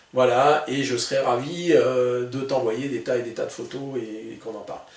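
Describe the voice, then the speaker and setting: A man at a medium pitch and fairly slow pace, with ordinary pitch variation, audible room echo and noticeable background noise. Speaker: gun collector YouTuber. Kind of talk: product presentation video. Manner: hesitant, many filler sounds; usually slow-paced.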